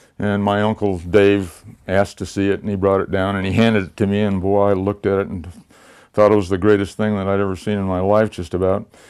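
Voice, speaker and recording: With an American accent, a man talks at a very fast pace in a flat monotone, his pitch fairly low, on a very clean recording with a silent background. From Los Angeles, California. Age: 70s. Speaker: toy gun collector. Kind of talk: personal reminiscence for a video. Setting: at home.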